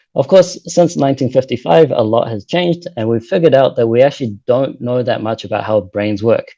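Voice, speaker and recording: With a New Zealand accent, a man speaks at a fairly quick pace, his tone dark and mellow and his intonation lively. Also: medium pitch for a man, hardly any pauses. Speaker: postdoctoral researcher. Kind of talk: lecture. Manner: fast.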